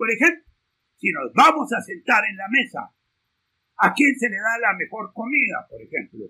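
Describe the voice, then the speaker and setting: This man's pitch is extremely high, and his intonation is lively, with big swings in loudness. He keeps a moderate pace broken by long, frequent pauses. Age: 70s. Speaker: law professor. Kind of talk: lecture.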